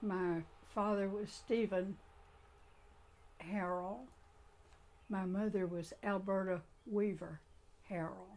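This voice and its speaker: Very slowly and with long, frequent pauses, a woman speaks in a Southern US accent at medium pitch with monotone, flat intonation. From Suwannee County, Florida. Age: 90s. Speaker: oral history interviewee. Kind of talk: oral history interview. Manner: halting.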